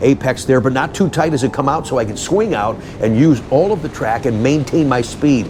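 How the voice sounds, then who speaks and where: A man with an enthusiastic tone and lively intonation over noticeable background noise. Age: 60s. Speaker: car channel host and car dealer. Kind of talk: casual vlog sign-off; narrated track day video commentary.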